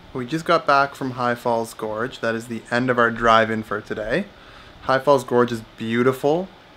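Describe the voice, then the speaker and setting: Ordinary pitch variation from a man speaking at a moderate speed. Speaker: travel vlogger. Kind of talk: casual vlog chat. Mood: relaxed, upbeat. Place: home room. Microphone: phone near.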